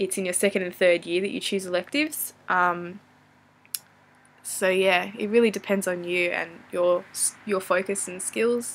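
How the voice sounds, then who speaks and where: In a very clean recording with a silent background, a woman speaks at a fairly slow pace with an Australian accent. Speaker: vlogger and university student. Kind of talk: casual Q&A vlog. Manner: hesitant, many fillers.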